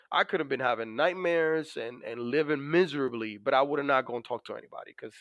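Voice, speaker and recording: A man with a Dominican accent, a fairly high pitch and ordinary pitch variation, at a fairly quick pace. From Dominican Republic. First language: Spanish. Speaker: navy master chief, war veteran. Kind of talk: interview about personal experience. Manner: many fillers, conversational.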